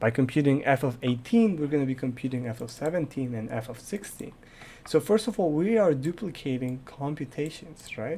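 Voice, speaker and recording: A man's fairly high, somewhat breathy voice with a dark, mellow tone, lively intonation and a fairly quick pace. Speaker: programming tutor and gaming youtuber. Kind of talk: tutorial.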